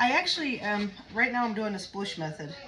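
Big pitch swings mark this bright, sharp tone, delivered at a fairly quick pace over faint background noise. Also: woman, medium pitch for a woman.

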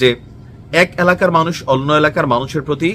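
The man's pitch sits fairly high, with ordinary pitch variation. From Bangladesh, Comilla. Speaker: social media commentator. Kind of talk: opinion vlog. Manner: animated.

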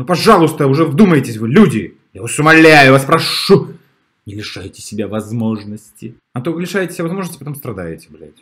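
A man at a moderate pace, with big swings in loudness and very wide swings in pitch. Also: quiet background. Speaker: relationship commentator. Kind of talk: commentary. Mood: animated, opinionated. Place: home room. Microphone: webcam.

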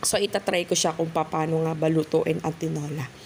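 A woman at a fairly low pitch and fairly slow pace, with noticeable background noise. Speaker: vlogger. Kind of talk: cooking tutorial. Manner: casual, filler-heavy.

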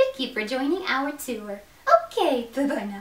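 With audible echo around it, a female-sounding voice puts on a character voice, high in pitch for a woman, at a moderate pace. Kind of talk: casual vlog chat. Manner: bubbly, upbeat. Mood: cheerful sign-off.

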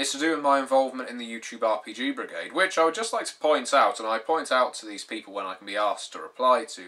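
Someone speaks at a fairly quick pace, with faint music in the background. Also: man. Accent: British. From Britain. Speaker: YouTube tabletop gaming vlogger. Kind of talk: vlog monologue. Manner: formal. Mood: wry, mildly sarcastic. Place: home room. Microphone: webcam.

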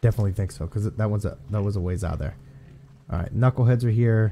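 Talking very fast with an American accent, a man uses a fairly low pitch, ordinary pitch variation and a dark, mellow tone. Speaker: gaming youtuber. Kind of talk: gameplay commentary. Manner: animated.

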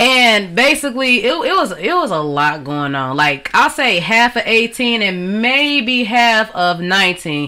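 Over a quiet background, the speech runs at a very slow pace with hardly any pauses and very wide pitch swings. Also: woman, fairly high pitch for a woman. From Detroit area, Michigan. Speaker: rapper. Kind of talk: interview. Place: studio. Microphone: studio mic.

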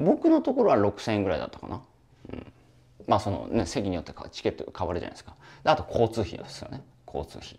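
A man talking at a very fast pace, with big swings in loudness. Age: 40s. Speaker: online business coach. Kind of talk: lecture-style solo video talk. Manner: casual, talkative, joking. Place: home room. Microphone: lapel.

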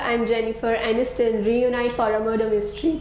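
A woman talks at a fairly high pitch while noticeable background noise runs underneath. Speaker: news anchor. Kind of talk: news reading. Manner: formal; steady, brisk headline delivery.

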